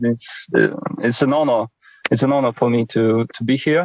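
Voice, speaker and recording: With a Polish accent, a man speaks at a moderate pace in a dry, close recording with no echo. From Poland. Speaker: handball journalist. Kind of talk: interview.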